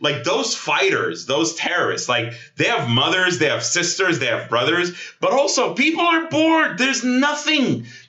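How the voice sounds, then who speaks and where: In a room with audible echo and noticeable background noise, a man speaks at a moderate pace in an animated, passionate tone with very even loudness. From Gaza, Palestinian. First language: Arabic. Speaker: Middle East analyst. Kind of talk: interview. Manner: halting, repetitive stammers.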